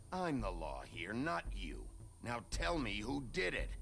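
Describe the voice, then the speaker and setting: Fairly slow put-on character voice from a man, with clear background noise behind it. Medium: video game. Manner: gruff, blunt.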